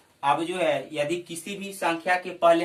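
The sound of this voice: There is audible room echo around the speaker. A man talks at a fairly slow pace in a fairly high voice. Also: fairly bright tone.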